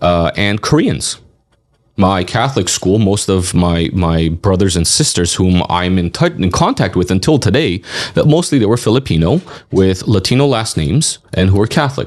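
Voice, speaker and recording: In a Californian accent, a man speaks at a moderate pace in a fairly low pitch, with lively intonation and very even loudness. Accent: Californian American English. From Los Angeles, Hollywood. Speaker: community advocate and county commissioner. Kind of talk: podcast interview. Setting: studio.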